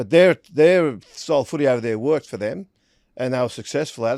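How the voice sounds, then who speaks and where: A man talks at a very fast pace with a strong Australian accent and ordinary pitch variation. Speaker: rugby league pundit. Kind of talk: casual chat.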